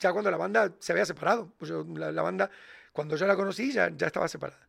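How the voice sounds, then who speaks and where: The recording is very clean, and the background is silent. In it, a man speaks at a very fast pace. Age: 40s. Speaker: podcast host, music commentator. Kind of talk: casual chat.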